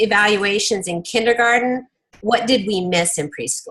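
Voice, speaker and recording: With a bright, sharp tone, a woman talks using ordinary pitch variation. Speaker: early childhood education team member presenting to a meeting. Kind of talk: work presentation.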